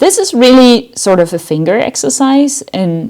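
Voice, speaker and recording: Lively intonation colors a dark, mellow voice with a German accent. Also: woman. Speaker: university lecturer. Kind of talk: lecture. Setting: online lecture recording.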